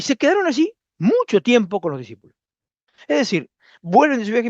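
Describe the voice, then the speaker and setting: The background stays quiet while a man talks. His voice sounds dry and close, without any echo. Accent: Rioplatense. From Argentina, Zárate, Buenos Aires province. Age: 60s. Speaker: preacher. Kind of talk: sermon. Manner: halting, repeats words.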